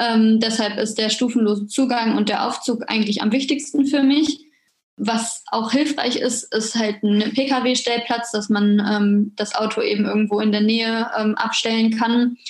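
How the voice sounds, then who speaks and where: A normal speaking voice from a woman, fairly slow, with fairly even intonation and very even loudness. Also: fairly high pitch for a woman. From western Germany, near Düsseldorf. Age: 20s. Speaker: psychology graduate student, wheelchair user. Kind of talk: interview.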